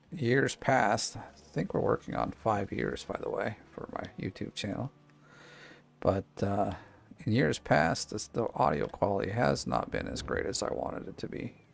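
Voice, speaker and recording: A soft-spoken man is talking. He keeps a moderate pace. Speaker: gaming YouTuber. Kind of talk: gameplay commentary. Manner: quiet, hard to hear.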